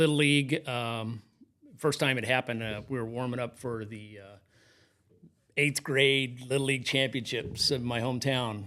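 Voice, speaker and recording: With an American accent, a man speaks at a medium pitch in a bright, sharp tone with fairly even intonation. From Kansas (Newton, north of Wichita). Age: 60s. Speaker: high school athletic trainer. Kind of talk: interview storytelling.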